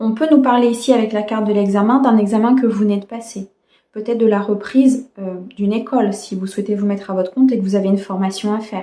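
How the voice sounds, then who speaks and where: A woman races along at a very fast pace, her fairly high voice held to fairly even intonation. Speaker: tarot card reader. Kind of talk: tarot reading. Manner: hesitant with fillers.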